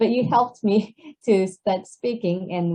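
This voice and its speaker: The voice is a woman's, somewhat breathy. She speaks at a fairly slow pace with fairly even intonation. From Japan. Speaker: English conversation teacher. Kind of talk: interview Q&A. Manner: halting.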